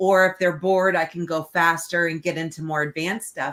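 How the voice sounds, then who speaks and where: A woman speaks at a moderate pace in a fairly low pitch with a plain, everyday voice. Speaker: real estate trainer. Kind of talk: casual webinar chat.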